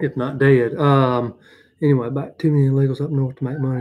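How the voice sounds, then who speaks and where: A man speaks at a very fast pace in a strong Southern US accent. His intonation is monotone and flat. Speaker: handyman. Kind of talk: casual livestream chat. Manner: rambling with many fillers.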